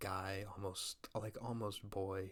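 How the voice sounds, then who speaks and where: The soft-spoken, somewhat breathy voice has a relaxed tone and monotone, flat intonation. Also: man. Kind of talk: movie review, casual talk to camera. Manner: soft-spoken, relaxed.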